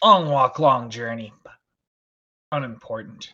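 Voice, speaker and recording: A man performs a put-on character voice. His intonation is lively. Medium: actual play. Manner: halting, terse, reserved.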